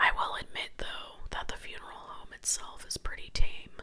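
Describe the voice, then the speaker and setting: A woman is whispering. Her pace is moderate. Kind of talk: reading a Reddit story aloud. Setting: home recording with scratching noises in the background. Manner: whispered.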